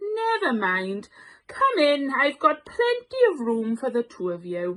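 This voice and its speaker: A woman's put-on character voice, high-pitched, with very wide pitch swings at a fairly slow pace. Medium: read story. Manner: warm, kindly.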